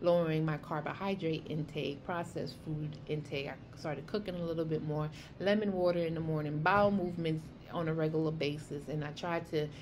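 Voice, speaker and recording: In a New York accent, a woman with a very deep, low pitch talks in an animated tone at a fairly quick pace, with audible room echo. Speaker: health vlogger. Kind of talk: casual vlog monologue. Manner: fast.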